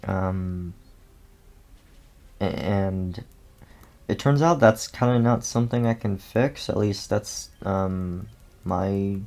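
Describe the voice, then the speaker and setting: Speaking at a very slow pace with long, frequent pauses, a man uses a fairly low pitch and ordinary pitch variation. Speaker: gaming YouTuber. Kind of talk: casual gameplay commentary. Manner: halting, many ums and repetitions.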